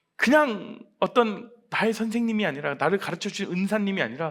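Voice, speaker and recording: A man talks in a raised, projected voice at a high pitch. His intonation is lively and his pace moderate. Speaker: pastor. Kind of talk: sermon. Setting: church.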